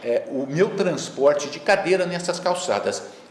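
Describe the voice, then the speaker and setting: Fairly slow speech with lively intonation, audible room echo and noticeable background noise. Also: man. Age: 60s. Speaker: master's student and court employee, wheelchair user. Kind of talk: lecture. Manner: halting, many filler words.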